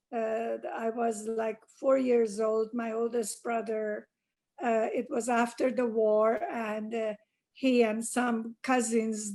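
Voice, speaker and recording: A woman with a Persian accent speaks very slowly at a fairly high pitch, her tone dark and mellow and her intonation monotone and flat. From Iran. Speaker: interviewee, oral history. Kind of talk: oral history interview. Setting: video call. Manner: hesitant, many fillers.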